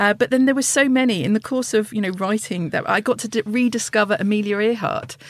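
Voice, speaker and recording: Speaking very fast with hardly any pauses, a woman with a southern English accent uses a fairly high pitch and ordinary pitch variation over noticeable background noise. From southeast England. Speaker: polar explorer. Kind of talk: interview.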